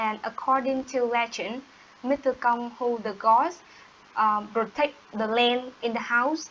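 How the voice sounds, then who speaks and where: A woman with a high voice and a Vietnamese accent is speaking. She talks at a fairly slow pace with fairly even intonation. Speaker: English learner. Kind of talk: language practice conversation. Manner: halting. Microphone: distorted, squeaky audio.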